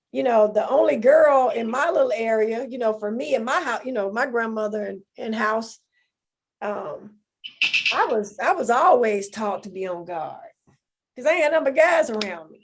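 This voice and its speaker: A woman talks with a Southern US accent at a moderate pace. Her fairly high voice has lively intonation and big swings in loudness. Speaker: podcast co-host. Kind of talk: casual chat.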